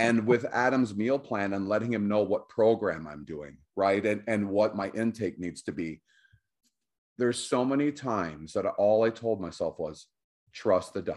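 With an ordinary speaking voice, a man of fairly low pitch talks at a moderate pace with ordinary pitch variation against a quiet background. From Canada (Cornwall, Ontario, near Quebec border). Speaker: weight loss success story guest. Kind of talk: casual interview.

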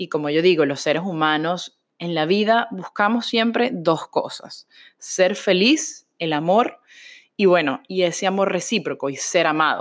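The woman has an unremarkable speaking voice, medium in pitch and lively in intonation. She talks at a fairly slow pace on a very clean recording with a silent background. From Venezuela. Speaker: religious podcaster. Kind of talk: personal testimony.

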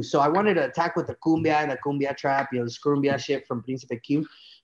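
A man speaks with an American accent over a quiet background. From Los Angeles, California, and Michoacan, Mexico. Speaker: musician, cumbia singer. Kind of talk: casual interview chat. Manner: animated, repetitive filler speech.

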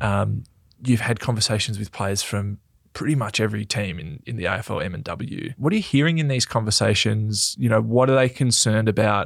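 With an Australian accent, a man speaks at a fairly low pitch and fairly quick pace in a very clean recording with a silent background. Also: ordinary pitch variation. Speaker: podcast host and footballer. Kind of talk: casual chat.

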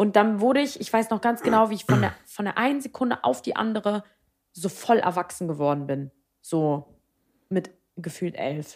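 This woman's animated delivery swings very widely in pitch and is broken by long, frequent pauses. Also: medium pitch for a woman, moderate pace. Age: 20s. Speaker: podcast co-host. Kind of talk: casual chat.

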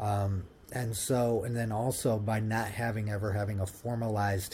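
A man's fairly low, somewhat breathy voice with an American accent, a dark, mellow tone and monotone, flat intonation. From Ohio, US Midwest. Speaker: partnerships director, brand builder. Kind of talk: podcast interview. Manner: halting, many repetitions and fillers.

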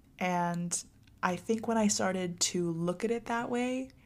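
In a very clean recording with a silent background, a woman with a fairly low pitch talks in a plain, everyday voice with ordinary pitch variation. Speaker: college student vlogger. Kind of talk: casual advice monologue to viewers. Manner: chatty with frequent fillers.

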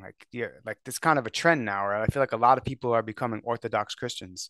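The voice has a bright, sharp tone and moves at a very fast pace. The background is quiet, and the sound is dry and close with no echo. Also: man. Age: 40s. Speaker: podcaster. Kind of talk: casual chat.

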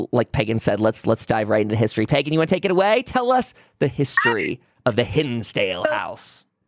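An ordinary speaking voice from a man with an American accent, medium in pitch, at a fairly quick pace with lively intonation, very even loudness and a dry, close sound with no echo. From Pennsylvania. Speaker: paranormal podcast host. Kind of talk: casual chat; sales pitch.

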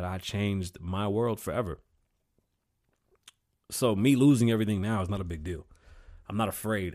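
In a very clean recording with a silent background, a man speaks at a fairly low pitch with a slightly mellow tone.

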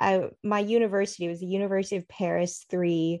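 Against a quiet background, a woman with an American accent uses an unremarkable speaking voice at medium pitch with fairly even intonation. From California, US. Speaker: novelist. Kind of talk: interview.

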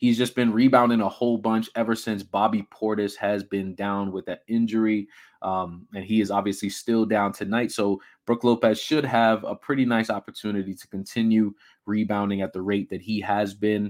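On a very clean recording with a silent background, a man with a fairly low pitch uses an ordinary speaking voice at a moderate pace. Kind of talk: casual sports-betting picks rundown, conversational monologue. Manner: relaxed, chatty, upbeat, with fillers and laughs; easy, stream-of-consciousness, sign-off pep.

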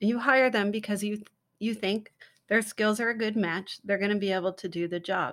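Here a woman speaks at a moderate pace in an unremarkable speaking voice. Her pitch is medium and her intonation fairly even. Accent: American. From US, San Francisco. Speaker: children's book author. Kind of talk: casual interview. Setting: remote call.

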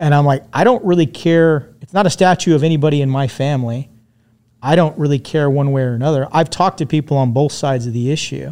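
His pitch sits fairly high for a man. It varies in an ordinary way. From Southern California, US. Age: 50s. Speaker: war veteran and physician. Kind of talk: casual chat.

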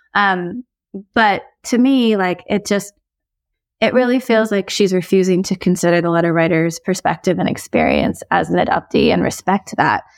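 In a very clean recording with a silent background and a dry, close sound with no echo, a woman with a medium pitch speaks in an ordinary speaking voice at a moderate pace, with ordinary pitch variation and very even loudness. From United States. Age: 40s. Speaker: author and advice columnist. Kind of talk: casual advice discussion.

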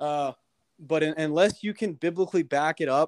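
The sound is dry and close with no echo as a man speaks at a moderate pace, fairly high in pitch, with fairly even intonation. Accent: Midwestern US. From Kansas City, Missouri. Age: 20s. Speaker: insurance broker. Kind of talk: casual chat.

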